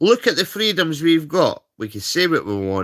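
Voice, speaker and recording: Speaking with a Scottish accent, a man sounds animated, his pitch swinging very widely at a moderate pace. The recording is very clean with a silent background, and the sound is dry and close with no echo. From Scotland. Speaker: livestreamer. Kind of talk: casual rant.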